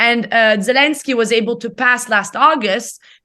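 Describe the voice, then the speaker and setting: Bright and sharp in tone, a woman with an Italian accent speaks at a fairly high pitch over a quiet background. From Italy. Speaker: economics professor. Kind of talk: interview.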